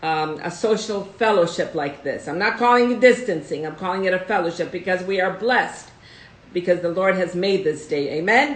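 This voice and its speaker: With a Russian accent and lively intonation, a woman of medium pitch speaks at a moderate pace amid audible room echo. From United States, Russian immigrant family. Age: 70s. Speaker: host's mother, guest. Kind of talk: casual live stream chat. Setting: live video stream.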